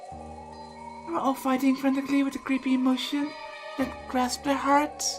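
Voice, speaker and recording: A woman's high-pitched voice at a moderate pace, with music in the background. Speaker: visual novel let's play reader. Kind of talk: visual novel read-aloud narration.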